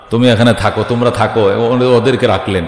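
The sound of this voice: A man speaks fast at a medium pitch with fairly even intonation, and room echo is audible.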